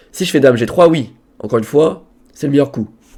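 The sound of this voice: A man talks at a very fast pace in a put-on character voice. His hoarse voice sits fairly high in pitch.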